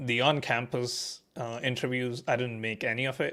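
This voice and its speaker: In a very clean recording with a silent background, a man speaks in a monotone, flat delivery with a non-native accent. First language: not English. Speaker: staff software engineer. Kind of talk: interview, casual chat. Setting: live stream. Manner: halting, many fillers.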